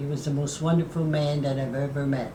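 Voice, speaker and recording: Background noise is noticeable behind a woman with an American accent. Her pitch is very deep and low. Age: 80s+. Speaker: group fitness instructor. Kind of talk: interview answer.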